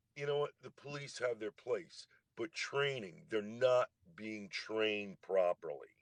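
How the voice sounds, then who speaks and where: A man with an ordinary speaking voice talks at a fairly slow pace at medium pitch. The sound is dry and close with no echo, and his pitch variation is ordinary. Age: 60s. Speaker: army veteran, livestream guest. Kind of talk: casual debate on a livestream. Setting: TikTok live stream.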